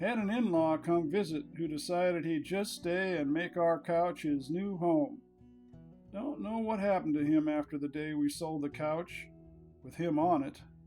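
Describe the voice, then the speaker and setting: With an American accent, a man talks in a high pitch while music plays in the background. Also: ordinary pitch variation, moderate pace. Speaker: narrator. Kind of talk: humorous book reading of folksy quips.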